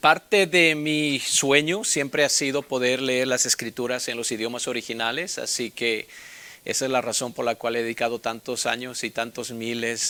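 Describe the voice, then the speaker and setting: Speaking with a Mexican accent, a man uses ordinary pitch variation. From Bolivia. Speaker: Bible instructor. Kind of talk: personal introduction. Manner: casual, with many filler sounds.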